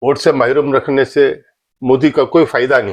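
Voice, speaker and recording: A man speaks at a fairly high pitch in a plain, everyday voice. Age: 60s. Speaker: political commentator. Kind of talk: political monologue.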